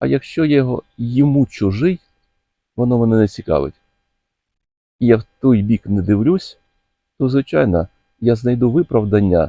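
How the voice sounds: With a dark, mellow tone and medium pitch, a man speaks at a moderate pace with lively intonation and long, frequent pauses, in a dry, close sound with no echo.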